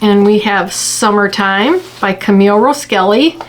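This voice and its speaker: With noticeable background noise behind her, a woman speaks at a fairly high pitch with lively intonation. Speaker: quilting channel host. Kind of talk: unboxing tutorial. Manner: casual, filler-heavy.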